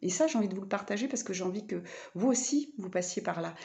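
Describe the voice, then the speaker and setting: Somewhat breathy female speech at a medium pitch. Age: 40s. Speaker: vlogger and spiritual therapist. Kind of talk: personal vlog monologue. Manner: halting, many fillers.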